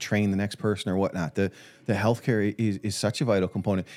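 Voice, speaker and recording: On a very clean recording with a silent background, a man with a fairly low voice speaks at a very fast pace. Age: under 65. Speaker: financial advisor podcast co-host. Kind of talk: casual chat. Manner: halting, many repeated words.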